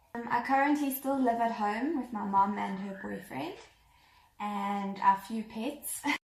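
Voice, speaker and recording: Music plays in the background as a woman speaks at a fairly slow pace. Her loudness swings widely. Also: fairly high pitch for a woman, lively intonation. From South Africa, Johannesburg. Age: 20s. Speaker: au pair applicant. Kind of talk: video self-introduction.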